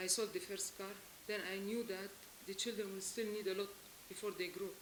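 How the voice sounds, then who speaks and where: A woman speaks at a moderate pace and a medium pitch, in monotone, flat intonation. Noticeable background noise can be heard. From Lebanon. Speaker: abandoned wife seeking help. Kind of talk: testimony. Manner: emotional; halting.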